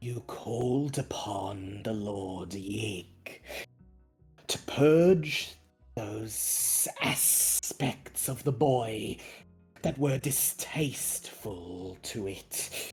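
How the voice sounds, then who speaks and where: Putting on a character voice, a man at medium pitch speaks at a very slow pace while faint music plays in the background. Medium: actual play. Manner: formal, measured.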